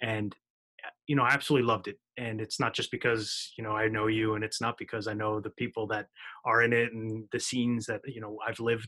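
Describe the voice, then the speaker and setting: A man with an American accent talks at a very fast pace in a monotone, flat way. His tone is bright and sharp, and the sound is dry and close with no echo. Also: medium pitch for a man. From New Jersey, US. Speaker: podcast host. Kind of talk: interview.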